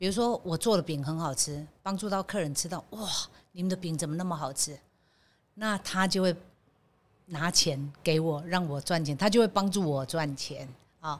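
A woman has an unremarkable speaking voice at a fairly low pitch. She talks at a moderate pace with ordinary pitch variation. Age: 60s. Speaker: bakery company general manager. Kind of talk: interview.

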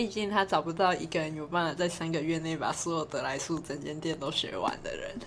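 A woman's fairly low, fairly quick voice with ordinary pitch variation and hardly any pauses, over noticeable background noise. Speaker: podcast co-host, part-time fast food worker and tutor. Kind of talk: casual chat. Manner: animated. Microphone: no microphone bought.

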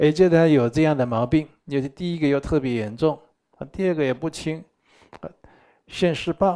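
Taking long, frequent pauses at a moderate pace, a man with a dark, mellow tone speaks at a fairly high pitch with ordinary pitch variation. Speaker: Buddhist teacher. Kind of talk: dharma lecture. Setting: live teaching session with in-person and online audience. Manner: animated.

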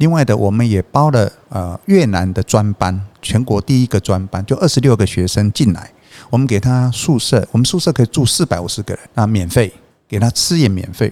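A man talks at a moderate pace with lively intonation in a plain, everyday voice. The sound is dry and close, with no echo. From Taiwan, Changhua (Hemei). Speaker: textile company chairman. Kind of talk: interview conversation.

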